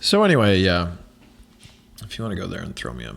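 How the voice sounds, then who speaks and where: A soft-spoken man talks at a moderate pace. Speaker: podcast host and actor. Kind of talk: solo casual monologue. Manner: halting, many fillers.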